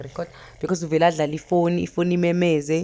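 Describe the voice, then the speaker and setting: At a very fast pace, a woman with a Zulu accent speaks in a fairly low pitch. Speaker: cooking vlogger. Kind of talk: cooking tutorial. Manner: casual, code-switching Zulu and English.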